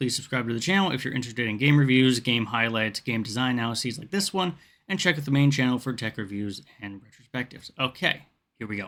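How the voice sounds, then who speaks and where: On a very clean recording with a silent background, a man speaks at a very fast pace and medium pitch with ordinary pitch variation. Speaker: gaming video creator. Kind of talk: video essay narration.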